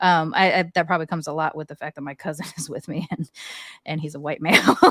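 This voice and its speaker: A woman's very deep, low pitch with an American accent, very fast pace, monotone, flat intonation and big swings in loudness, in a dry, close sound with no echo. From USA. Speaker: podcast co-host. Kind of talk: casual chat.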